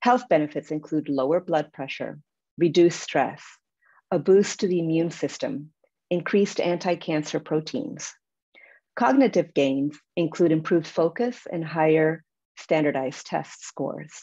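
Lively in intonation, a woman speaks with a fairly low pitch and a dark, mellow tone. The background is quiet. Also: moderate pace. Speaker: nature educator. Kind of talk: panel presentation. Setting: video call. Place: home room. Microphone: video call.

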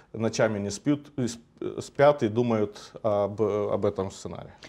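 A man speaks with lively intonation. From Moldova. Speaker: political scientist. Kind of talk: TV political talk show discussion. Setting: TV studio. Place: studio. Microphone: lapel.

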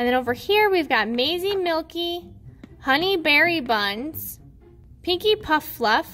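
Speech unfolds at a very slow pace. Faint music sits in the background. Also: woman. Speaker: toy unboxing host. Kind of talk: casual unboxing commentary. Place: home room.

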